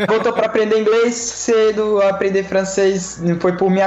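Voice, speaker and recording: The speaker has a Florianópolis accent. Noticeable background noise can be heard. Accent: Florianópolis (manezinho) Brazilian. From southern Brazil (Florianópolis). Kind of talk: casual interview. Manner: relaxed, laid-back.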